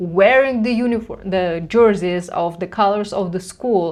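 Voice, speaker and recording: At a fairly slow pace, a woman with a Russian accent speaks with lively intonation. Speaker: reaction commentator. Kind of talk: reaction commentary. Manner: halting.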